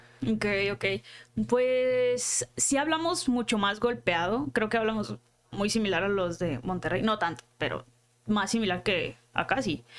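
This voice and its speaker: A woman at a fairly slow pace, with very wide pitch swings and very even loudness. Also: medium pitch for a woman. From Culiacán, Sinaloa, Mexico. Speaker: content creator and writer. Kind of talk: casual interview.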